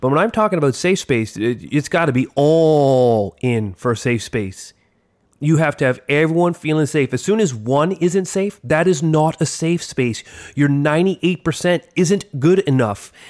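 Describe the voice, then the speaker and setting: A man with a fairly high pitch and an animated tone uses lively intonation at a fairly slow pace, his loudness very even, on a very clean recording with a silent background. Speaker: teacher podcast co-host. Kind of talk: casual chat. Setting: studio.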